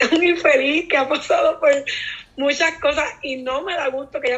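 A woman with a Puerto Rican accent at a high pitch and a fairly quick pace. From Puerto Rico (Naranjito). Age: 20s. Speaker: teacher and content creator. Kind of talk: casual interview.

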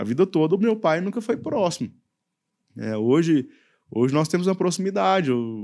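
On a very clean recording with a silent background, a man with a dark, mellow tone and fairly high pitch speaks at a moderate pace, his pitch swinging very widely. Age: 30s. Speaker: youth pastor. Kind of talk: casual chat.

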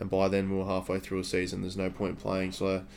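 His voice sits at a fairly low pitch. The man talks with an Australian accent. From Victoria, Australia. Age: 20s. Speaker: fitness student and podcast co-host. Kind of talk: casual chat.

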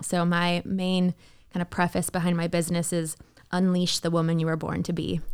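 A woman speaks at a fairly quick pace with a fairly low pitch. Her intonation is monotone and flat, and her loudness is very even. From Canada, Toronto. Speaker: country singer. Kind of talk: casual chat.

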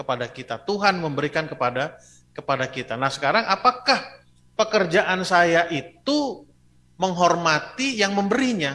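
A man speaks at a moderate pace in a high pitch, with very wide pitch swings. His tone is animated, bright and sharp. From Bandung, West Java (ethnic Batak). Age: 50s. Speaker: pastor. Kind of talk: sermon. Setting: church, streamed online.

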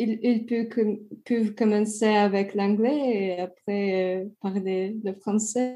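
Speaking very slowly in a Russian accent, a woman keeps a monotone, flat intonation with a fairly high pitch and a dark, mellow tone. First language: Russian (speaking French). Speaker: English teacher and French learner. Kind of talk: interview. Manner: halting, many hesitations.

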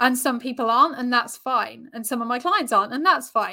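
This woman has a southern English accent and a high pitch. Her tone is bright and sharp. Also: very clean recording, silent background. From Brighton, southern England. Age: 40s. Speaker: yoga instructor and relationship coach. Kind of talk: interview chat.

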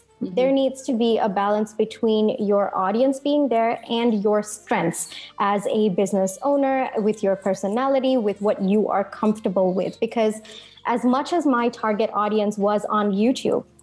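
Noticeable background noise behind speech of moderate pace and ordinary pitch variation. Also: woman, very even loudness. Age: 20s. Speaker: marketing strategist. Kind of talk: interview.

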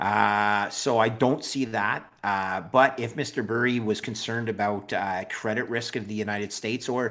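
A man with a Canadian accent speaks in a plain, everyday voice at a fairly low pitch, on a very clean recording with a silent background. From Canada. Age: 50s. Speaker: bond trader and Bitcoin strategist. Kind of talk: casual interview.

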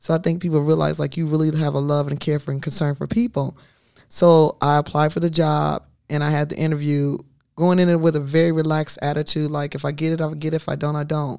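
A dark, mellow voice with an American accent rushes along at a very fast pace in monotone, flat intonation. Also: woman, very deep, low pitch for a woman. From US Midwest, Quad Cities (Illinois/Iowa). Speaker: police social worker. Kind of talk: casual interview.

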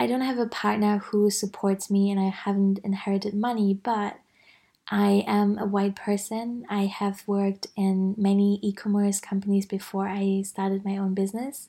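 In a very clean recording with a silent background, a woman of medium pitch speaks at a moderate pace with a dark, mellow tone, a somewhat breathy quality, monotone, flat intonation and very even loudness. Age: 30s. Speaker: podcast host; business coach and web designer. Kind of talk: solo monologue. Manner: casual, reflective with fillers.

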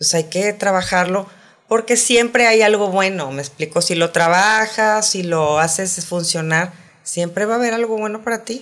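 A woman with an ordinary speaking voice talks at medium pitch. Her pace is moderate, with ordinary pitch variation. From Saltillo, northern Mexico. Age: 50s. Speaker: sex columnist and educator. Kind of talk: casual interview chat. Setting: studio.

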